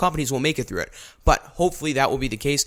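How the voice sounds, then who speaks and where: A man on a very clean recording, silent background. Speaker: podcast host. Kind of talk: political commentary monologue. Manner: fast.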